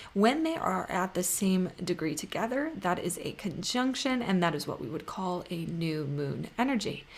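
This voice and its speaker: Lively intonation carries a woman's medium-pitched voice. She speaks with hardly any pauses. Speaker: astrologer. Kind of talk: astrology forecast video. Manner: fast.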